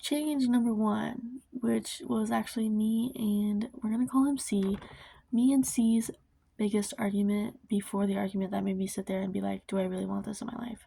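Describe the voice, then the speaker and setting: A woman's fairly high, somewhat breathy voice with a dark, mellow tone and ordinary pitch variation, in a very clean recording with a silent background. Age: young. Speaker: vlogger. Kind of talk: casual chat. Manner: fast.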